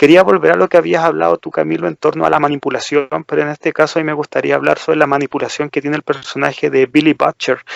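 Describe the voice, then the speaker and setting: A man talking at a very fast pace with hardly any pauses, in a dry, close sound with no echo. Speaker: podcast co-host. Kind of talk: casual chat.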